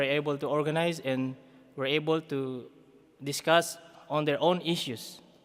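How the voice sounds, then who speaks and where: A man with a Philippine accent, fairly high pitch, fairly even intonation and a moderate pace. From Philippines, Isabela/Cagayan region. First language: Ibanag. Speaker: community development worker. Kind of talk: conference talk. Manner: halting.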